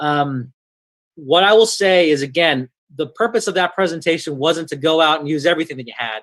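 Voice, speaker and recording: Delivered at a fairly quick pace, a normal speaking voice shows ordinary pitch variation. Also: man, fairly high pitch for a man. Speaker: online seminar presenter. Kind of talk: webinar presentation.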